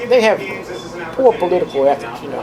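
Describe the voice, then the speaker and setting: A man with a Southern US accent talks at a fairly quick pace in a high pitch, his pitch swinging very widely. Noticeable background noise and audible room echo fill the recording. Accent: Southern US (Georgia). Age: 60s. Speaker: former city councilman and mayor. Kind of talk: police interview. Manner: halting, many fillers and repeats.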